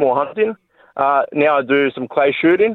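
Fairly high male voice with ordinary pitch variation, in an Australian accent. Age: 30s. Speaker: electrician, caller. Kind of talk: talkback call.

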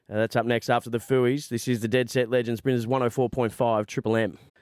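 A man speaks with an Australian accent at a moderate pace. The sound is dry and close, with no echo. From Victoria, Australia. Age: 30s. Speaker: radio host. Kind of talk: casual chat. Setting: studio.

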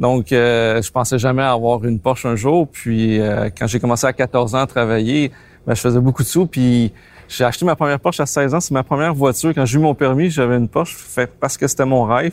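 A man at a fairly quick pace, very even in loudness with ordinary pitch variation, in dry, close sound with no echo. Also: medium pitch for a man. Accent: Quebec. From Quebec. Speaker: car collector. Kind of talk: interview.

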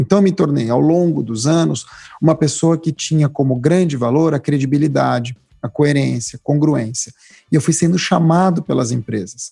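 This man's voice has a fairly high pitch, a dark, mellow tone, very even loudness and a somewhat breathy quality. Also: ordinary pitch variation, moderate pace, dry, close sound with no echo. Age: 40s. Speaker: writer and public speaker. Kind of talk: interview conversation.

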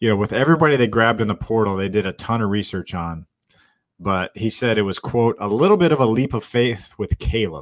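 A man talks at a fairly quick pace with ordinary pitch variation, recorded very cleanly against a silent background. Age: 40s. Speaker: sports journalist podcast host. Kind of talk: casual chat.

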